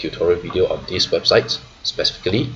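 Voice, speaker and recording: A man keeps a moderate pace as noticeable background noise goes on around him. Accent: non-native. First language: not English. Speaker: trader and finance YouTuber. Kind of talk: tutorial. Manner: frequent fillers and 'right?' tags.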